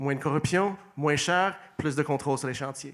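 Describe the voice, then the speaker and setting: The recording is very clean and the background silent. A man's voice sits fairly high in pitch. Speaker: mayoral candidate. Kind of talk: election debate opening statement. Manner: hesitant, with fillers and restarts.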